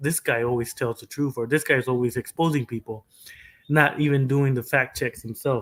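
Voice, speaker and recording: Delivered at a moderate pace in a Mexican accent, the speech has fairly even intonation. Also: man. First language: Spanish. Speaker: streamer. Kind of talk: casual livestream commentary. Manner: halting, frequent fillers and repetitions.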